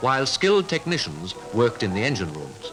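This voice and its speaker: Music plays in the background as the speaker moves at a fairly quick pace through very wide pitch swings. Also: man. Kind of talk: newsreel narration.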